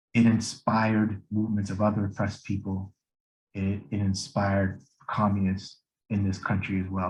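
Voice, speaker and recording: This man has a fairly low pitch and a somewhat breathy voice with an American accent. He speaks at a moderate pace in a flat, monotone way. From US Rust Belt. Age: 40s. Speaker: political educator. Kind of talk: lecture. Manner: halting, many fillers and restarts.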